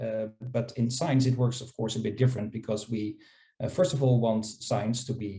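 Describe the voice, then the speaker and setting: A man with a non-native accent speaks fairly quickly at a medium pitch, his tone dark and mellow, somewhat breathy, with ordinary pitch variation. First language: not English. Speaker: scholarly publishing panelist. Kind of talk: panel discussion. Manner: halting, many fillers and repetitions.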